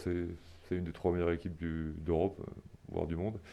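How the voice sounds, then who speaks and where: The background stays quiet. This man's tone is dark and mellow. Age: 30s. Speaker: professional rugby player. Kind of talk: sports interview. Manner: halting, many repetitions and hesitations.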